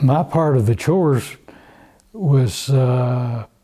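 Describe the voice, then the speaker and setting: A man with an Ozark accent, a dark, mellow tone, a somewhat breathy sound and medium pitch. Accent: Southern US (Ozark). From US South, northwest Arkansas. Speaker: oral history interviewee. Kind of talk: oral history interview. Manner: halting, with repeated words.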